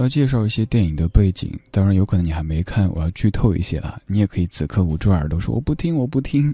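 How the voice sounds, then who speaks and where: A man's voice sits fairly low, with a dark, mellow tone and a somewhat breathy quality. He races at a very fast pace with very wide pitch swings, in a dry, close sound with no echo. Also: hardly any pauses. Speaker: late-night radio host. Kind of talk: live late-night radio talk. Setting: radio studio. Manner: steady.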